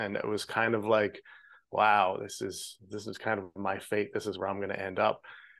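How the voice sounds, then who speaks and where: A man speaks with a Canadian Prairies accent. The background is quiet. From Canada, Saskatchewan (Regina). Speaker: film director. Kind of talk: interview.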